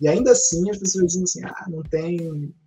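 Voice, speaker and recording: A man's pitch varies in an ordinary way as he speaks at a moderate speed. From Rio de Janeiro, west zone. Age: 30s. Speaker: academic and novelist. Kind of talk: podcast interview. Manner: halting, many repeated words.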